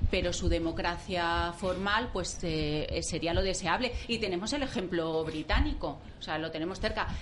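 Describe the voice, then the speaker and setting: A woman's fairly low voice at a moderate pace, with ordinary pitch variation, hardly any pauses, noticeable background noise and audible room echo. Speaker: panelist. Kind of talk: talk radio debate. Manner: halting.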